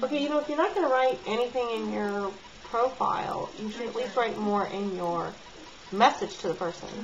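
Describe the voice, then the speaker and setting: With an American accent, a woman speaks at a fairly quick pace in a fairly high voice. Background noise is noticeable. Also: lively intonation. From Southern California. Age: 40s. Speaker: vlogger. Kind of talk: casual vlog commentary. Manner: animated.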